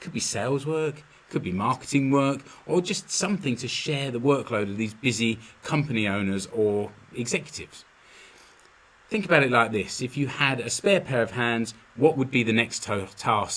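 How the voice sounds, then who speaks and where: With a London accent, a man speaks using lively intonation. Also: medium pitch for a man, moderate pace. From London, England. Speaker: podcast host, business consultant. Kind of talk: solo podcast monologue. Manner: casual, with fillers and repetitions.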